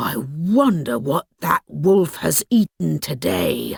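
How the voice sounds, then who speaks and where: This put-on character voice sits at a low-to-middle pitch. It moves at a very slow pace. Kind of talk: bedtime story. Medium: read story.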